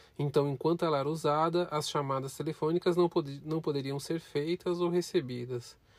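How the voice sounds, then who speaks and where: Music plays behind a man whose fairly high voice keeps a fairly even intonation. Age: 30s. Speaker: podcast host, student. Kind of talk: scripted narration.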